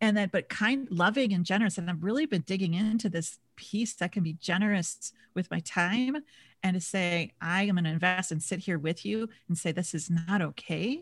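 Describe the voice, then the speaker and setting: A somewhat breathy woman with an American accent, medium pitch, ordinary pitch variation and a moderate pace, on a very clean recording with a silent background. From Minnesota. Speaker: leadership coach. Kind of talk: casual interview chat.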